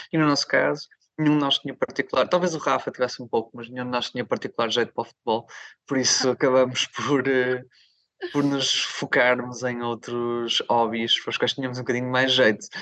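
A bright, sharp tone with fairly even intonation moves along at a fairly quick pace, the sound dry and close with no echo. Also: man, medium pitch for a man. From northern Portugal, Barcelos (Minho). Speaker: rock singer and guitarist. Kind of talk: interview.

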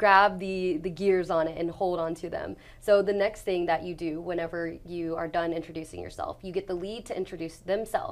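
A woman talks at a moderate pace with hardly any pauses, her pitch medium. Hers is an unremarkable speaking voice, with big swings in loudness. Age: 20s. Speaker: sales closer and trainer. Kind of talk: interview.

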